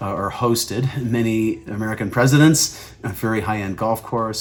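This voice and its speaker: The man's pitch sits in the medium range and varies in an ordinary way. He has an unremarkable speaking voice. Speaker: real estate agent. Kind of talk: informational video.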